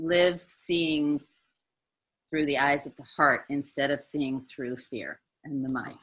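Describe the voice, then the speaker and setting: A woman with an American accent speaks at a very deep, low pitch in a bright, sharp tone. Her pitch variation is ordinary, and the background is quiet. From United States. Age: 60s. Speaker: spiritual teacher. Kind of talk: testimony. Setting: video call.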